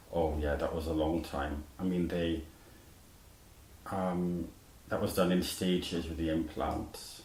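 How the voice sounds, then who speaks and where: In a Welsh accent, a man speaks fairly slowly at a very deep, low pitch, flat and monotone, with long, frequent pauses and audible room echo. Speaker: musician, surgery survivor. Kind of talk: interview. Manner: halting, with false starts.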